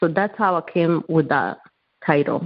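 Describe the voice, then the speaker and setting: In a non-native accent, a woman talks at a moderate pace with fairly even intonation and a very deep, low pitch. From Rwanda. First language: not English. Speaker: author. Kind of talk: interview.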